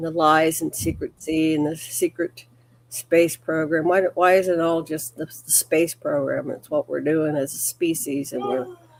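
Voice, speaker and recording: Against noticeable background noise, a woman with a very deep, low pitch speaks at a moderate pace with fairly even intonation. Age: 70s. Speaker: talk show co-host. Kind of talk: casual chat.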